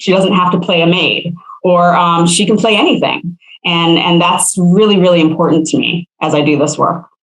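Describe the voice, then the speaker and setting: At a moderate pace and fairly low pitch, a woman with an American accent and an ordinary speaking voice talks with ordinary pitch variation and very even loudness. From St. Croix, US Virgin Islands. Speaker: actress. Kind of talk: podcast interview answer.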